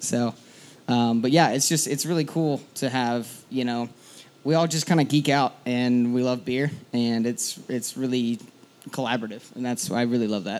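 A man speaks at a moderate pace and a medium pitch in an unremarkable speaking voice. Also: ordinary pitch variation. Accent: American. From eastern Washington, US. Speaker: brewer. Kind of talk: casual interview on stage. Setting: stage with live audience.

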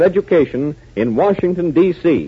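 In a dramatic tone, a man speaks at a fairly high pitch with lively intonation. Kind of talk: old-time radio drama announcer narration. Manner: brisk, dramatic, punchy announcer delivery.

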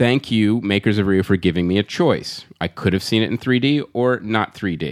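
A man speaks in a plain, everyday voice at a moderate pace with hardly any pauses and ordinary pitch variation, the sound dry and close with no echo in a very clean recording over a silent background. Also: fairly low pitch for a man. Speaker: podcast host. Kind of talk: casual comedy podcast chat. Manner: joking, interrupting.

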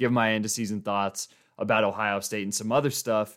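A man with an American accent in a normal speaking voice, fairly low in pitch, at a moderate pace, on a very clean recording with a silent background. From Colorado (Boulder area). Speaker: sports podcast host. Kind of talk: casual solo sports commentary. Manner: casual, conversational with fillers.

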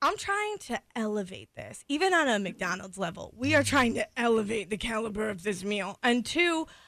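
Against a quiet background, a woman with a plain, everyday voice and a fairly high pitch speaks at a moderate pace with lively intonation and hardly any pauses. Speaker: radio co-host. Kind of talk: casual chat.

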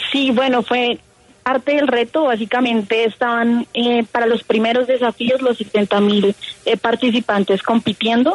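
With a Colombian accent, a woman speaks at a fairly slow pace with a fairly high pitch, fairly even intonation and very even loudness. The sound is dry and close with no echo, and there is noticeable background noise. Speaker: engineer and programming contestant. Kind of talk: radio interview.

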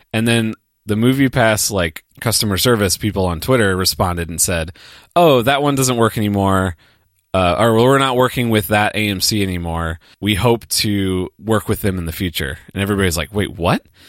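A man with an unremarkable speaking voice at a fairly low pitch, ordinary pitch variation, and a moderate pace, on a very clean recording with a silent background and a dry, close sound with no echo. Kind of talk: casual chat.

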